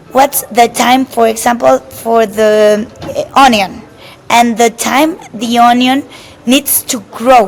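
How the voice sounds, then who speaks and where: Very slow speech from a woman at a fairly high pitch, with ordinary pitch variation and noticeable background noise. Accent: Spanish. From Mexico. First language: Spanish. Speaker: chef. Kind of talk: interview. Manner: halting, many repetitions and fillers.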